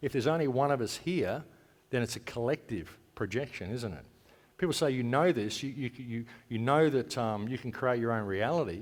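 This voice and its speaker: This man talks at a fairly quick pace, his medium pitch showing ordinary variation. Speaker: conference speaker. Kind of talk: conference talk. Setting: stage with audience.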